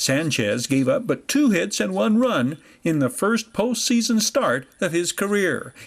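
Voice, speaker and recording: At a fairly slow pace, a man with a high pitch makes very wide pitch swings on a very clean recording with a silent background. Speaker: sports reporter. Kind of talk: sports highlight narration.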